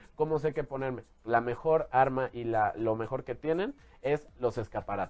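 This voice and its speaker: Speaking with a Mexican accent, a man uses a medium pitch. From Mexico City, born in Jalisco. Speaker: fashion stylist. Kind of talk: casual interview.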